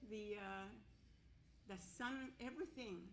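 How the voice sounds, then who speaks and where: Over audible room echo, a woman with a Canadian accent speaks fairly slowly in a bright, sharp tone with ordinary pitch variation. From northern Manitoba, Cree First Nation. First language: Cree. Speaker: residential school survivor. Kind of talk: testimony. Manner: halting.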